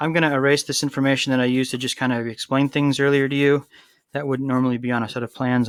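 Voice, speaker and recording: On a very clean recording with a silent background, a man talks at a fairly high pitch. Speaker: high school construction teacher. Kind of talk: tutorial. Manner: fast; casual with fillers.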